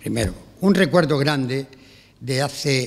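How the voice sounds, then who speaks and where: The pace is very slow for this man. He varies his pitch in an ordinary way. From Spain, Cartagena (Murcia); Murcia, Spain. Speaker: music director. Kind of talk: press conference speech. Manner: animated. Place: hall. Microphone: podium.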